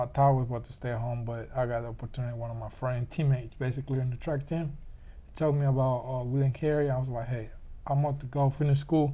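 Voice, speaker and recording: With a Panamanian accent, a man speaks fairly quickly at medium pitch in a somewhat breathy voice with a dark, mellow tone and monotone, flat intonation. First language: Spanish. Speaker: interviewee. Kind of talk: casual interview.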